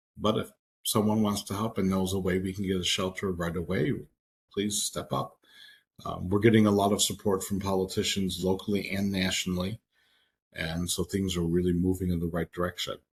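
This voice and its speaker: A man speaks at a fairly quick pace in a very deep, low voice, somewhat breathy, with monotone, flat intonation. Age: 60s. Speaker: social services program director and trainer. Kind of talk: Q&A in online training session.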